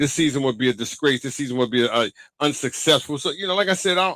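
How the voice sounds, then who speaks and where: In a Brooklyn accent, the voice rattles along very fast with an animated, bright, sharp tone and ordinary pitch variation, captured dry and close with no echo on a very clean recording with a silent background. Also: man. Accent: New York (Brooklyn). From New York, Brooklyn (Bedford-Stuyvesant). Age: 50s. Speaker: basketball podcaster and commentator. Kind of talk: casual solo podcast monologue. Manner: animated, repetitive.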